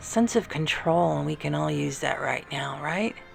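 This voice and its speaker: Over music in the background, a soft-spoken woman talks at a moderate pace in a calm, soothing tone. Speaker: artist and ASMR creator. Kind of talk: ASMR coloring session, casual talk to camera. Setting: art studio with classical music in the background. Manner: soft-spoken, calm, soothing.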